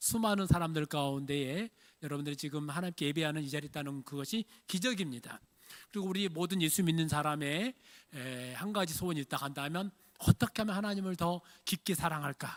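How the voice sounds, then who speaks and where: A man with a slight Jeolla accent talks at a fairly quick pace and fairly high pitch, with ordinary pitch variation. The sound is dry and close, with no echo. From Jeolla region, Korea. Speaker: pastor. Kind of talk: sermon. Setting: church.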